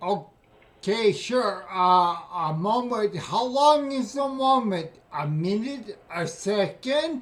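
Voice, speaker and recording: Very slowly, a man speaks in a high voice. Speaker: scam baiter with ataxia. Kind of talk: phone call. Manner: slurred, sounds drunk; loud.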